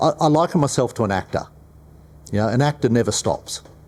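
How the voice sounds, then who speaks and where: Lively in intonation, a man with an Australian accent talks at a fairly quick pace. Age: 60s. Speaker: business owner. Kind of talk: panel discussion.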